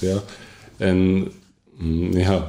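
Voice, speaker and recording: A man with a Polish accent speaks over noticeable background noise, with audible echo in the room. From Poland. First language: Polish (speaking Dutch). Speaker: coach and bookkeeper, former addict. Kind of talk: personal testimony in interview. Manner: halting.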